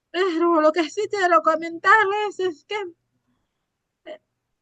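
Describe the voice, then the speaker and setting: In a raised, projected voice with a bright, sharp tone, a woman speaks at a very slow pace and an extremely high pitch. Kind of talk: casual panel chat.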